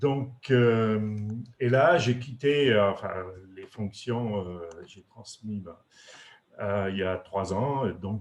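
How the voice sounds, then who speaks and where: A man with a fairly low pitch speaks at a very slow pace. His pitch varies in an ordinary way. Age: 60s. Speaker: retired industrial executive. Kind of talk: webinar presentation. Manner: halting, many hesitations.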